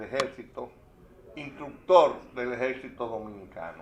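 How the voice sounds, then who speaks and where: This man talks very slowly, his pitch swinging very widely up and down. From Dominican Republic, Santo Domingo. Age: 80s+. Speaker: panel speaker on local history. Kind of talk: casual chat.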